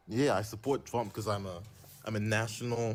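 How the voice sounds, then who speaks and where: Recorded very cleanly with a silent background, a man speaks in a normal speaking voice with fairly even intonation. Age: 20s. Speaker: caller. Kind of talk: live debate call.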